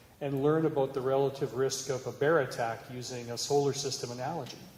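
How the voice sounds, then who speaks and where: A man with a Canadian accent at a moderate pace, with audible room echo. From Canada. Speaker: cybersecurity executive. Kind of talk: conference talk.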